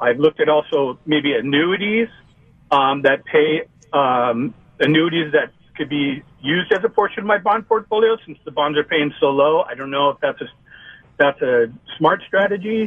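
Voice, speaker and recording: In a normal speaking voice, a man with fairly high pitch talks at a moderate pace with lively intonation. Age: 50s. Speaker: caller planning early retirement. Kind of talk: radio call-in question.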